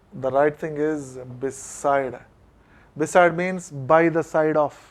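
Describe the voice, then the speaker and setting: A man with a fairly high voice at a very slow pace, fairly even intonation, on a very clean recording with a silent background. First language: Telugu. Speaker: college English lecturer. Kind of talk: classroom lecture.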